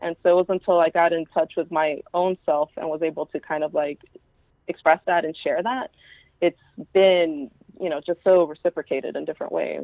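A woman speaks at a fairly quick pace with a fairly low pitch. Her intonation stays fairly even. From Houston, Texas (East End). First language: Spanish. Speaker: zine artist. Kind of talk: casual interview. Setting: phone call.

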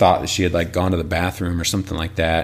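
In an American accent, a man talks with fairly even intonation at a very deep, low pitch. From northern Illinois, rural. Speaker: pastor. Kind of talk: personal testimony interview.

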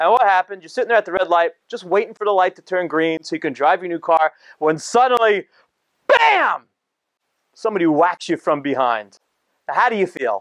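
Dry and close with no echo, the clip has a man with a New Jersey accent speaking high and fairly quickly, with lively intonation, an animated tone, and long, frequent pauses. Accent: New Jersey American. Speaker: rabbi and speaker. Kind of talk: talk to live audience. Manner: casual, animated.

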